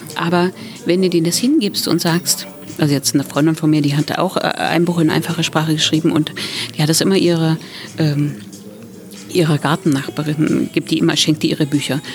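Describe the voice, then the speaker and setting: Against music in the background, a woman with a very deep, low pitch talks at a fairly quick pace and fairly even intonation, broken by long, frequent pauses. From Thuringia, Germany. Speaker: author. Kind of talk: casual chat.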